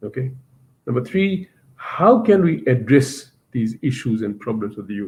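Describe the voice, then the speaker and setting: A man's somewhat breathy, medium-pitched voice with lively intonation at a moderate pace. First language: not English. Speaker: university teacher, webinar speaker. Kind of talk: webinar presentation. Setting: online webinar. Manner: hesitant, with fillers.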